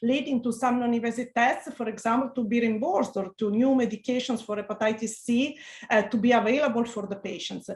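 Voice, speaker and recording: Someone speaks at a fairly quick pace in an Italian accent. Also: woman. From Italy. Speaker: physician researcher. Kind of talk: interview. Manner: halting.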